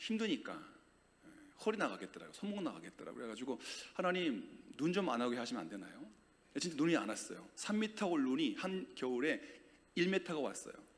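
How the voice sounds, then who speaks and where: Very wide pitch swings from a man with a high voice, a fairly quick pace and audible room echo. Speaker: guest preacher. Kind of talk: sermon. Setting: church. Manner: loud; animated.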